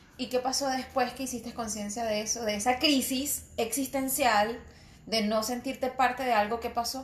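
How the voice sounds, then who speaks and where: A woman with a high pitch speaks in a monotone, flat intonation. Noticeable background noise is present. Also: moderate pace. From Venezuelan Andes, Mérida state. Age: 30s. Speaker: podcast co-host. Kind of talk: casual chat.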